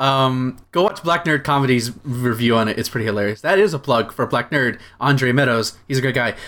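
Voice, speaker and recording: In an ordinary speaking voice, a man talks with hardly any pauses and ordinary pitch variation. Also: medium pitch for a man, fairly quick pace. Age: 20s. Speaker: comics podcast co-host. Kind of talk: casual chat.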